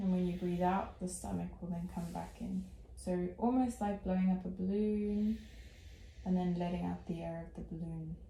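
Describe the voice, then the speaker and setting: A soft-spoken woman at a moderate pace. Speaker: meditation guide. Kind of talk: guided meditation instruction.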